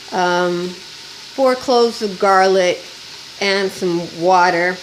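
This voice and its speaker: With noticeable background noise behind her, a woman talks at a medium pitch with lively intonation. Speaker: cooking channel host. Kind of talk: cooking tutorial. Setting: home kitchen. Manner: casual, chatty.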